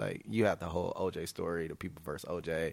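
A man with an American accent talks at a very fast pace. His voice has vocal fry. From Michigan, US (Grand Rapids). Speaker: visual artist. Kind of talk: casual chat. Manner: halting, frequent fillers.

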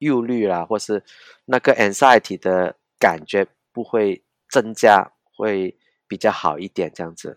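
A man speaks at a very slow pace with a Cantonese accent and ordinary pitch variation. The sound is dry and close, with no echo. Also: very clean recording, silent background. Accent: Cantonese-accented Mandarin. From Hong Kong. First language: Cantonese (speaking Chinese). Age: 50s. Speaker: pastor and independent journalist. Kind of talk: casual interview. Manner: halting, repeats words.

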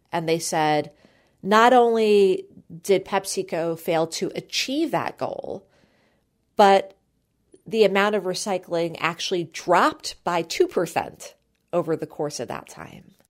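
Delivered at a very slow pace with long, frequent pauses, this voice shows big swings in loudness and ordinary pitch variation on a very clean recording with a silent background. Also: woman, medium pitch for a woman. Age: 40s. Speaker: podcast host. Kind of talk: interview.

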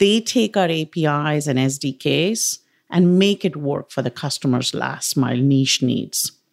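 In an Indian accent, a woman with a very deep, low pitch speaks fairly slowly with lively intonation, on a very clean recording with a silent background and a dry, close sound with no echo. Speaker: technology executive. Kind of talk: interview.

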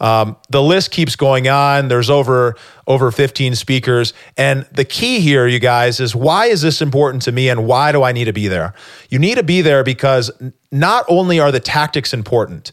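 A man speaks in a normal speaking voice at a medium pitch and a moderate pace, with ordinary pitch variation and very even loudness. The recording is very clean, with a silent background. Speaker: podcast host. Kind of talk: interview, casual conversational.

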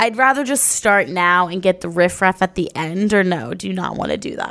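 A raspy, put-on character voice at a fairly quick pace with lively intonation. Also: woman, medium pitch for a woman.

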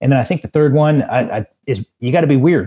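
There's an animated tone to this man's fairly high voice. He sounds somewhat breathy and keeps a moderate pace. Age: 40s. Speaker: tech entrepreneur. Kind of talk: interview conversation.

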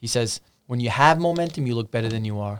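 On a very clean recording with a silent background, a man with a normal speaking voice talks at a moderate pace and a medium pitch. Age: 40s. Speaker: business coach. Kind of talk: interview.

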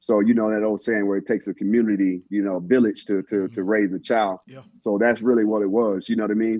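Delivered at a very fast pace with hardly any pauses, the speech has an American accent and monotone, flat intonation. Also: man, fairly low pitch for a man. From Texas, Dallas. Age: 40s. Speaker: chef and former football player. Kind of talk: casual interview chat.

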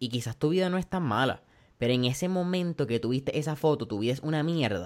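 Here is a man with a plain, everyday voice, fairly high in pitch for a man. He keeps a moderate pace and ordinary pitch variation. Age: 20s. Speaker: podcast host. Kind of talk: interview. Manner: casual, Spanish-English code-switching.

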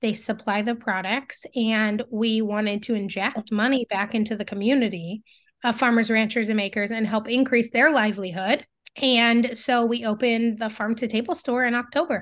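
A woman with a normal speaking voice and fairly high pitch talks at a moderate pace with fairly even intonation against a quiet background. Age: 30s. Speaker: business owner and CEO in agricultural marketing. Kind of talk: casual interview.

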